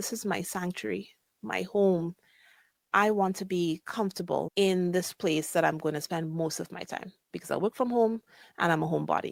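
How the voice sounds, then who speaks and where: Soft-spoken and at a moderate pace, a woman talks with ordinary pitch variation in a dry, close sound with no echo over a silent background on a very clean recording. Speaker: podcast host and physician coach. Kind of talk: casual podcast monologue. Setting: live podcast recording.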